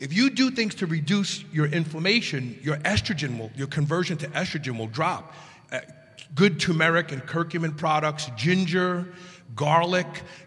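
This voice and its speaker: A man's fairly high voice with lively intonation, audible room echo and noticeable background noise. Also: moderate pace. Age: 60s. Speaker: podcast host guest panelist. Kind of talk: live panel discussion. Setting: stage with audience.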